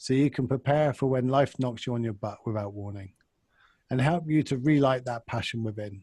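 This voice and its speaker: A man's somewhat breathy voice with a dark, mellow tone comes through a very clean recording with a silent background. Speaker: podcast co-host. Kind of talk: podcast intro recording.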